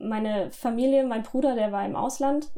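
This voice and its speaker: A woman speaks over noticeable background noise. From southwestern Germany (Lörrach, Baden). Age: 20s. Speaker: medical student recounting illness. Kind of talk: testimony.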